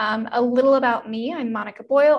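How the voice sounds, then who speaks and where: A woman with an unremarkable speaking voice, a fairly high pitch and fairly even intonation, at a moderate pace. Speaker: health coach. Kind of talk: webinar presentation. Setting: online webinar with slides.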